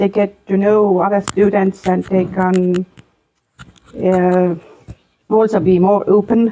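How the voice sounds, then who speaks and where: A medium-pitched woman with an Estonian accent, a dark, mellow tone, monotone, flat intonation and a fairly slow pace. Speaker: school vice-principal. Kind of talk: interview. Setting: school library. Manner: halting, many hesitations.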